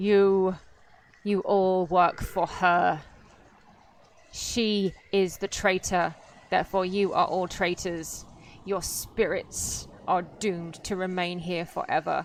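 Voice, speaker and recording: Putting on a character voice, a woman of medium pitch booms out loud and resonant at a fairly slow pace with long, frequent pauses. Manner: accusing, menacing.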